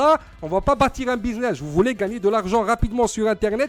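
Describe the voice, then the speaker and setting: This man talks at a fairly quick pace with a high pitch and ordinary pitch variation. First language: not French (speaking French). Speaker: online marketing coach. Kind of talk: sales pitch. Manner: hesitant, many fillers.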